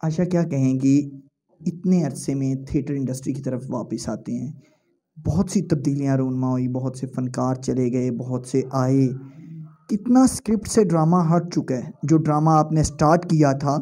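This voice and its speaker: A man with a dark, mellow tone speaks at a fairly slow pace. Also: ordinary pitch variation. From Pakistan. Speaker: interviewer. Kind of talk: interview. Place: home room. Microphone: handheld.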